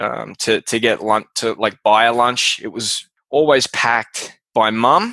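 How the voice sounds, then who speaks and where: A man's medium-pitched, bright, sharp voice with an Australian accent, fairly slow in pace, dry and close with no echo against a quiet background. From Australia, Melbourne. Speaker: podcast host, guest. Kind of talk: interview. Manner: casual, hesitant with fillers.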